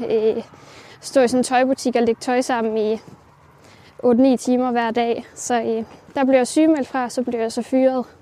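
Her high voice has a dark, mellow tone as this woman speaks slowly in a flat monotone, leaving long, frequent pauses. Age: 20s. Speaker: self-taught ceramicist. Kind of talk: interview while walking. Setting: outdoors, walking.

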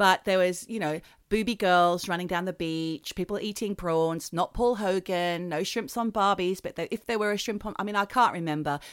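Recorded very clean with a silent background and a dry, close sound with no echo, a woman at medium pitch speaks with an Australian accent and ordinary pitch variation. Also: moderate pace. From Australia, New South Wales south coast. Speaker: podcast co-host. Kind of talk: casual chat.

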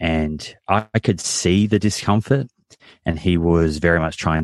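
A man speaks at a very deep, low pitch with ordinary pitch variation and a fairly slow pace. The sound is dry and close with no echo, against a quiet background. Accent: Australian. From Australia, Victoria. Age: 30s. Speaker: nutritionist and podcast host. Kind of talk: interview.

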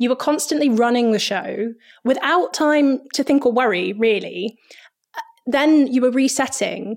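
A woman talks at a moderate pace with a high pitch and ordinary pitch variation. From grew up on army bases in Germany and the UK. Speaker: stage manager. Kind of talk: interview.

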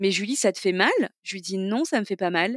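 Talking at a fairly quick pace, a woman with a plain, everyday voice shows ordinary pitch variation in a dry, close sound with no echo. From southeastern France, Toulon area. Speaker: entrepreneur, cancer survivor. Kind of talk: interview testimony.

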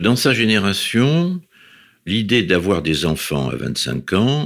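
Very wide pitch swings mark this man's speech. His voice sits fairly low. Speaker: academic, husband telling love story. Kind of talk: personal testimony.

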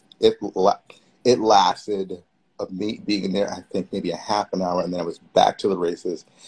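Speaking in a New York accent, a man keeps a monotone, flat intonation at a fairly low pitch and moderate pace. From New York City. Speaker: event producer and community organizer. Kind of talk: casual interview. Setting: Instagram Live video call.

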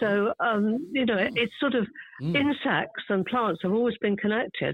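A woman speaks with a southern English accent and a lively, bouncing intonation. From London, England. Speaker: garden writer. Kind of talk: casual chat. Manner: talkative.

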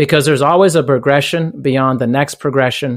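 On a very clean recording with a silent background, a man with an unremarkable speaking voice speaks at medium pitch with fairly even intonation, the sound dry and close with no echo. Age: 40s. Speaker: fitness business owner and personal trainer. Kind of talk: interview.

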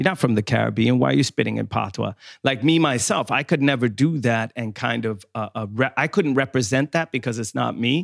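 Recorded very cleanly against a silent background with a dry, close sound and no echo, a man at medium pitch talks at a fairly quick pace with hardly any pauses, ordinary pitch variation and vocal fry. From southern Sweden (Skåne). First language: Swedish. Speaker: podcast co-host, musician and author. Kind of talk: casual chat.

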